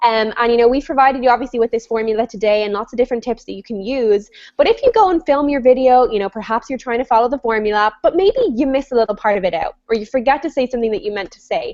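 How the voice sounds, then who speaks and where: A woman with a high-pitched voice speaks in an animated way at a very fast pace with hardly any pauses, her loudness swinging widely and her pitch varying normally, all in a dry, close sound with no echo. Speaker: online business coach hosting a webinar. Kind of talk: live web show discussion. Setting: video call.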